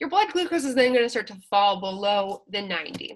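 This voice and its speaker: A woman speaks in an animated tone. The recording is very clean, with a silent background. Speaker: college instructor. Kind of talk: lecture. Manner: fast.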